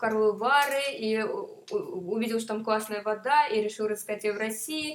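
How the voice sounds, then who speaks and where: Noticeable background noise sits behind a woman speaking at a fairly slow pace. Her pitch is fairly high, with ordinary variation. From Moscow. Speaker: tourist. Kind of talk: casual chat.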